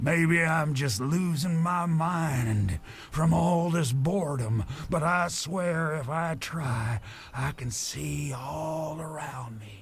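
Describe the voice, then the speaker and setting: Put-on character voice from a man, very slow, pitched fairly high. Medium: video game. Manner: folksy, rambling.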